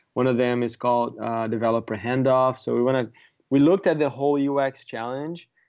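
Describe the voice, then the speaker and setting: This man has a Portuguese accent and a medium pitch. He keeps fairly even intonation at a moderate pace against a quiet background. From Brazil. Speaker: software product manager. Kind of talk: casual interview.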